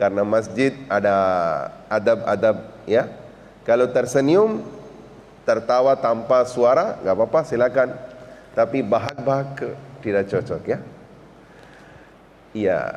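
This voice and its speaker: A man with a Pakistani accent speaks at a medium pitch and a fairly slow pace, with long, frequent pauses and ordinary pitch variation. His loudness stays very even over noticeable background noise. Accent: Pakistani accent in Indonesian. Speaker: Islamic preacher. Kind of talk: religious sermon. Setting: mosque. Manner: halting, self-correcting.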